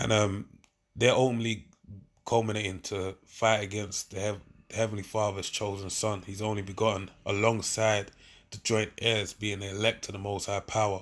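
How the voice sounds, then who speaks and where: A man's fairly low voice with a slight Cockney accent, monotone and flat, at a moderate pace, on a very clean recording with a silent background. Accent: slight Cockney twang on certain words. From London. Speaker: bible teacher. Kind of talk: bible study. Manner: casual, repetitive filler.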